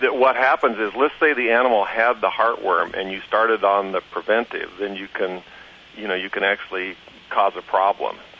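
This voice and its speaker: Here is a man with a normal speaking voice. He speaks at a moderate pace with a fairly low pitch. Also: ordinary pitch variation. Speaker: veterinarian. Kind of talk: interview.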